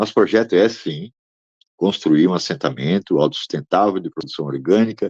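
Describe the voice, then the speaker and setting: A normal speaking voice moves at a fairly quick pace with lively intonation. The sound is dry and close, with no echo. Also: man. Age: 60s. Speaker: land rights activist. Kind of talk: interview.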